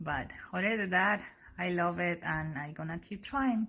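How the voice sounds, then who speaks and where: With a Colombian accent, a woman speaks in a very deep, low voice with vocal fry and lively intonation. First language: Spanish. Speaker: sonography student. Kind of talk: personal testimony. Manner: halting.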